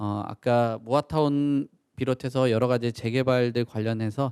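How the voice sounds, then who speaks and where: A man at medium pitch, dark and mellow in tone, at a fairly slow pace with fairly even intonation, in a dry, close sound with no echo on a very clean recording with a silent background. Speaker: event host and moderator. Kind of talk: Q&A moderation, reading audience questions. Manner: self-described poor pronunciation.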